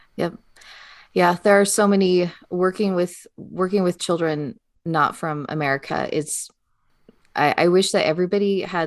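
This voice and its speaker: Over a quiet background, a woman with a normal speaking voice talks at a moderate pace with fairly even intonation. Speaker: podcast co-host and teacher of English learners. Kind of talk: casual chat.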